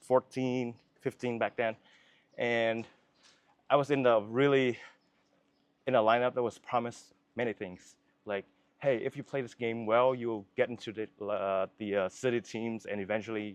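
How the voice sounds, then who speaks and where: A man with a Vietnamese accent talks at a moderate pace and a medium pitch, with fairly even intonation. He leaves long, frequent pauses, and the sound is dry and close with no echo. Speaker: filmmaker. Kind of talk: interview. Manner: halting.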